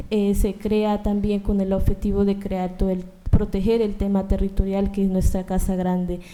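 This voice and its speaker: Over noticeable background noise, a woman talks at a moderate pace with a medium pitch. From Colombia. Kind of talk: panel talk.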